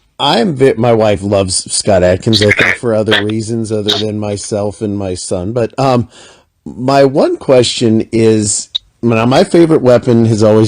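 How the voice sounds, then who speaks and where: Here is an ordinary speaking voice from a man at medium pitch. He talks at a fairly slow pace. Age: 40s. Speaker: interviewer. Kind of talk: interview.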